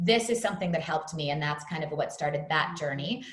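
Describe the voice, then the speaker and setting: Talking at a very fast pace, a woman with an American accent uses ordinary pitch variation. Room echo is audible around her voice. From US Northeast, New York City. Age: 40s. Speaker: fitness trainer. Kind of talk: podcast interview.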